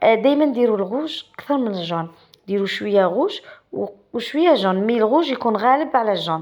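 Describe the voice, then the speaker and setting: Fairly quick, a woman with an Algerian accent speaks at a fairly high pitch, her voice swinging very widely up and down. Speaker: pastry cook, cooking channel host. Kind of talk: cooking tutorial. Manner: casual, halting with self-corrections.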